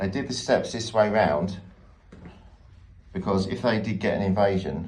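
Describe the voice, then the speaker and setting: In a Luton accent, a man speaks at a fairly low pitch. Room echo is audible. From England, Luton. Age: 30s. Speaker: travel vlogger. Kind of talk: casual vlog tour narration. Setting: outdoors at a castle.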